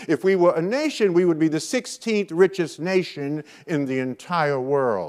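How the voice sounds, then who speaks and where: A man with an American accent speaks at a moderate pace in a high pitch. His intonation is lively and his tone animated. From US Northeast, Brooklyn, New York. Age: 70s. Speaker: motivational speaker. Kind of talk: keynote speech.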